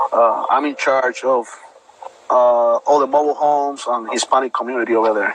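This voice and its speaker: Over noticeable background noise, a man speaks fairly quickly at medium pitch in a monotone, flat way. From Puerto Rico. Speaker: bodybuilder, army veteran. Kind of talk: interview.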